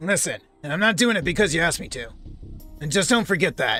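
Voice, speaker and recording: A man does a put-on character voice, gruff and raspy with a high pitch. He talks at a very fast pace as faint music plays in the background. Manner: gruff, tough.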